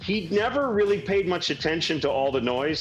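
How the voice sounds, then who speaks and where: With noticeable background noise behind him, a man with an American accent swings his pitch very widely. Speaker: baseball play-by-play announcer. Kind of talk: radio interview.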